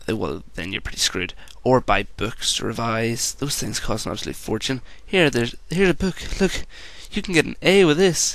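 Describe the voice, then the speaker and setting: Medium-pitched and showing vocal fry, a man talks at a moderate pace. His pitch swings very widely. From Northern Ireland. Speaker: video blogger. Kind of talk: rant.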